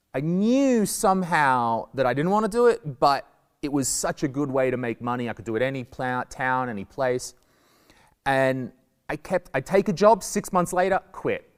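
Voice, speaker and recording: A loud man speaks at a moderate pace with fairly high pitch and very wide pitch swings. The recording is very clean with a silent background, and the sound is dry and close with no echo. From Australia. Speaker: stand-up comedian. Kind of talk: talk to school pupils.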